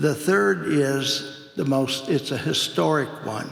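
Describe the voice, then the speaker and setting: Audible room echo and noticeable background noise accompany a man speaking at a very slow pace. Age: 70s. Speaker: animal nutrition scientist. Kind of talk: conference presentation. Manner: hesitant, many fillers.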